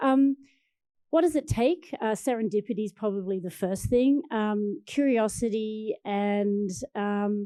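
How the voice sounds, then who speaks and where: She speaks with an Australian accent and a dark, mellow tone. The woman's pitch is fairly high and her pace fairly slow. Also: ordinary pitch variation. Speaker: biotech research executive. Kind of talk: panel discussion.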